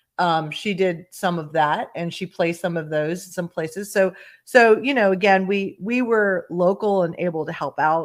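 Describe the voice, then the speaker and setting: A woman talks in a plain, everyday voice at a medium pitch and moderate pace, with ordinary pitch variation. The recording is very clean, with a silent background. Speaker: podcast co-host. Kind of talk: podcast conversation.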